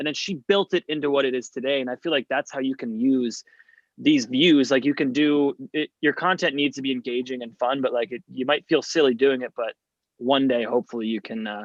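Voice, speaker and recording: The man has an ordinary speaking voice, fairly high for a man, with ordinary pitch variation. He talks at a fairly quick pace in a dry, close sound with no echo. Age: 30s. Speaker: comedian. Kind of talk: casual chat.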